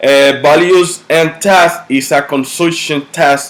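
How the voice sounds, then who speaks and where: Over noticeable background noise, a man speaks with a Dominican accent. His pace is very slow and his intonation fairly even. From Dominican Republic. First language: Spanish. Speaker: university student. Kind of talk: class presentation. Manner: halting.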